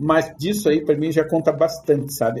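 This man's tone is dark and mellow, with some breathiness. He keeps a moderate pace. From Brazil. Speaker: front-end developer. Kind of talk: casual interview.

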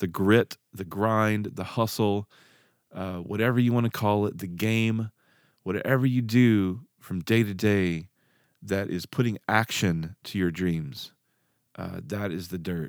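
A man with a Southern US accent speaks at a fairly slow pace, fairly low in pitch with ordinary pitch variation. The recording is very clean, with a silent background and a dry, close sound with no echo. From Arkansas. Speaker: podcast host, musician and ex-pastor. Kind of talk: solo podcast monologue. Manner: halting, many fillers.

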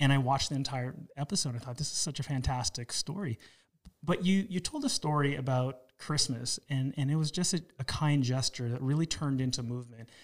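Somewhat breathy and fairly high, a man's voice moves at a fairly quick pace. His pitch varies in an ordinary way. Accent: Canadian. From Toronto, Canada. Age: 40s. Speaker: podcast host. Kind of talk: interview.

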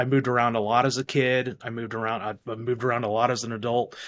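On a very clean recording with a silent background, a man speaks fairly quickly in a flat monotone. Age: 40s. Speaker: podcast host. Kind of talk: casual chat.

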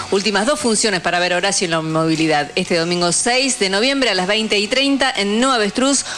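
A woman with a medium pitch and lively intonation speaks at a fairly quick pace with hardly any pauses and very even loudness over noticeable background noise. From Argentina, Neuquén. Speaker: radio host. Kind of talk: radio talk show and announcements.

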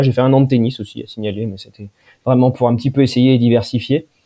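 In a monotone, flat intonation, the words come out at a fairly quick pace. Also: man. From France, Poitou (Poitiers). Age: 20s. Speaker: engineer and company director. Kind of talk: casual interview. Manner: hesitant, many repetitions.

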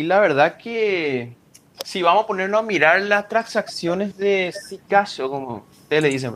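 A man speaks at a fairly slow pace in a high pitch, his intonation lively. His loudness swings widely. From Paraguay. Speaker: cryptocurrency enthusiast. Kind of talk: casual chat. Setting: at home, remote.

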